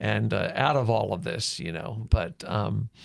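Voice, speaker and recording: Against a silent background, the very clean recording captures a man talking. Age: 60s. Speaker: pastor. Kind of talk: casual chat. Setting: studio. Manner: halting.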